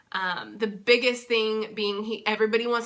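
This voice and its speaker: A woman speaks at a fairly slow pace with an American accent. Her tone is bright and sharp. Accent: thick southern accent when tired. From Texas. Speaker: vlogger and sign language interpreter. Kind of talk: casual vlog. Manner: hesitant, many fillers.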